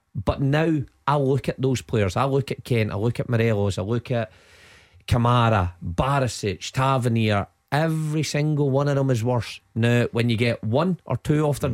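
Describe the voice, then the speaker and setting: Dry and close with no echo, a man's medium-pitched voice holds very even loudness and ordinary pitch variation. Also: moderate pace. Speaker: football pundit. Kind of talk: radio phone-in discussion. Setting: studio.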